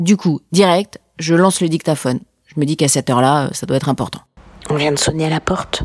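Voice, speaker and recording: This woman's voice sits very deep and low, and her tone is animated. She talks at a fairly quick pace. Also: ordinary pitch variation. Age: 30s. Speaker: podcaster. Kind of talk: personal storytelling.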